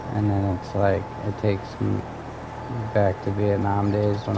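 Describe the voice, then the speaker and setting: In a room with audible echo and noticeable background noise, a man speaks at a fairly slow pace in a fairly low, monotone, flat voice. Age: 30s. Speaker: gaming streamer. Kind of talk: casual chat.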